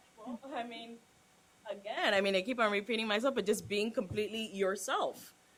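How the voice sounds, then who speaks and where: A woman's fairly high pitch at a fairly quick pace, with big swings in loudness and noticeable background noise. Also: ordinary pitch variation. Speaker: cigar industry worker. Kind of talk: panel discussion. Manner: casual, many fillers.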